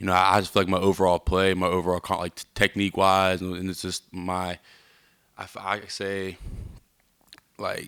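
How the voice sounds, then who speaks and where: A man speaks at a fairly quick pace in a very deep, low voice with flat, monotone intonation. His tone is bright and sharp, and the recording is very clean with a silent background. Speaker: college football player. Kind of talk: press interview. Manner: halting.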